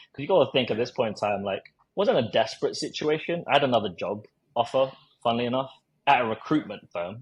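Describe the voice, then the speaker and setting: Somewhat breathy, a man speaks at a very fast pace with a medium pitch and lively intonation. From South London, England. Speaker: recruiter and marketer. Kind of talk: podcast interview storytelling. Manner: casual, with many fillers and repetitions.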